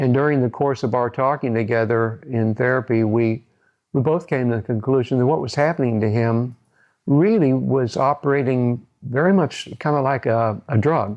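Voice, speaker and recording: Speaking with a Midwestern American accent, a man keeps a medium pitch, a moderate pace, ordinary pitch variation and very even loudness. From US Midwest, Decatur, Illinois. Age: 70s. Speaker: psychologist. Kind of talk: interview testimony. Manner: halting, many fillers and repetitions.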